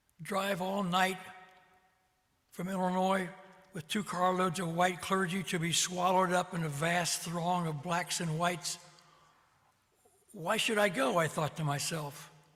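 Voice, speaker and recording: Using long, frequent pauses, a man with a Midwestern US accent speaks in a high, bright, sharp voice with fairly even intonation. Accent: US Midwest. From Ohio (Columbus). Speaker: retired clergyman. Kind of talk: personal testimony. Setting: video call.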